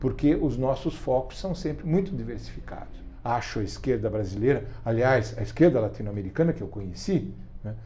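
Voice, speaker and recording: The voice belongs to a man. His words carry audible room echo. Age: 70s. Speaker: writer and activist. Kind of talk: interview. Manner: hesitant, with repetitions and fillers.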